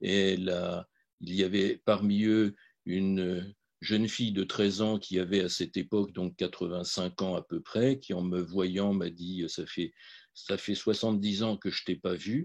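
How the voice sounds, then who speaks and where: Against a quiet background, a man with a very deep, low pitch speaks very slowly with fairly even intonation. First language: Polish (speaking French). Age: 70s. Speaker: physician and Holocaust memory advocate. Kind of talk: testimony. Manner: halting, many hesitations.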